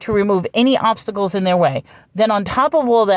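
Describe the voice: Someone does plain reading aloud with ordinary pitch variation.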